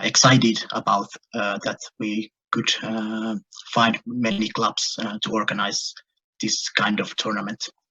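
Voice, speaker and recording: Speaking at a fairly slow pace, a man with a fairly low pitch keeps a monotone, flat intonation. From northern Finland (Lapland, Kemi). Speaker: goalball player. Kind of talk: interview. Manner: halting, many fillers and repetitions.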